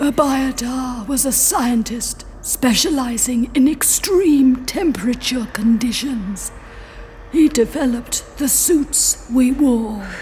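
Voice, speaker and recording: A put-on character voice, female-sounding and high-pitched for a woman, at a fairly slow pace over clear background noise. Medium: audio drama. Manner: formal, literal, measured.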